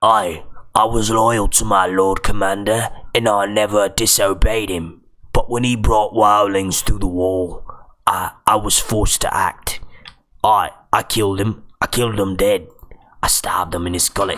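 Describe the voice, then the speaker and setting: A man's raspy, fairly low-pitched put-on character voice with monotone, flat intonation. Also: moderate pace. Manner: blustering, defensive.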